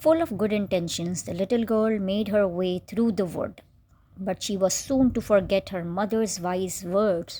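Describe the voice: The clip is plain reading aloud. Nothing more is added to the delivery.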